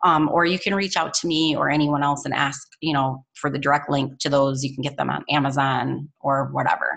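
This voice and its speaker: A woman speaks at a fairly quick pace with a very deep, low pitch and vocal fry. She barely pauses at all. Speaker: network marketing team leader. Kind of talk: team training call. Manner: fast; energetic.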